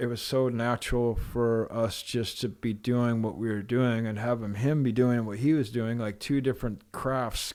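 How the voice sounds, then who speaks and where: With an American accent, a man talks at medium pitch and a moderate pace, monotone and flat, with hardly any pauses. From Pacific Northwest, USA. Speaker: professional snowboarder. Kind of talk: interview answer. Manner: soft-spoken.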